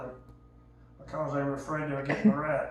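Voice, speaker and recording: In a rural Southern US accent, a man with a fairly high voice talks amid noticeable background noise and audible room echo. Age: 70s. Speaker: elderly storyteller. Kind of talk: casual storytelling.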